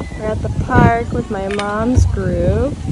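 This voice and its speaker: A woman talks while loud background noise fills the recording. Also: dry sound with no echo. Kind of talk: casual vlog chat. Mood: relaxed, chatty. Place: open country. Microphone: phone near.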